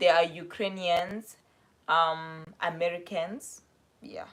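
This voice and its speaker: This woman speaks at a very slow pace with a South African accent. Her pitch sits fairly low. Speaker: vlogger. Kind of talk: casual live stream chat. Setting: live stream. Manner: casual, chatty.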